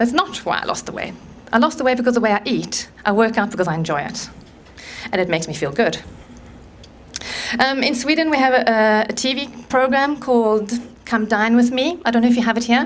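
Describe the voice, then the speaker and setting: At a fairly quick pace, a woman with a fairly high pitch and lively intonation leaves long, frequent pauses. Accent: South African. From South Africa. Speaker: conference speaker on low-carb eating. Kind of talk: talk to live audience.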